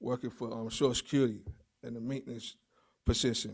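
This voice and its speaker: A man with a New York accent, medium in pitch, dark and mellow in tone, with fairly even intonation, on a very clean recording with a silent background. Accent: New York City. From New York City, the Bronx. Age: 40s. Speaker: guide dog graduate. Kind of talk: graduation speech. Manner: halting, many fillers.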